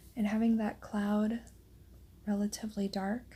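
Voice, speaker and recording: Soft-spoken and somewhat breathy, a woman of medium pitch speaks at a very slow pace in a calm tone, her dark, mellow voice monotone and flat. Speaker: watercolor artist and tutorial host. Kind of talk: soft-spoken ASMR painting tutorial narration. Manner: soft-spoken, calm.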